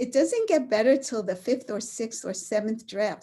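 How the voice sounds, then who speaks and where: A dark, mellow, somewhat breathy voice with an American accent. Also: woman. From New York City (Brooklyn). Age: 70s. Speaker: author. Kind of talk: author talk Q&A. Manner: halting.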